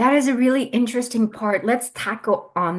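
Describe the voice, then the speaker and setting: A woman speaks in an animated tone. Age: 40s. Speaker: podcast host. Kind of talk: podcast interview.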